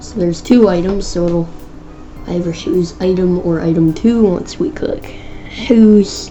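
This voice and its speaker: Ordinary pitch variation marks the speech, heard with clear room echo and a fair amount of background noise. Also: woman, medium pitch for a woman, fairly slow pace. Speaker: programming tutorial YouTuber. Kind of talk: tutorial. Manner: halting, self-correcting; casual.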